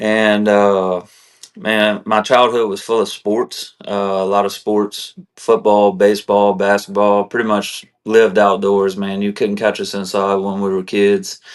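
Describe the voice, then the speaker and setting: Speaking with a South Louisiana accent, a man talks at a fairly slow pace in a fairly low pitch with monotone, flat intonation against a quiet background. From South Louisiana, Morgan City. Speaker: army veteran. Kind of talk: interview. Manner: casual, conversational.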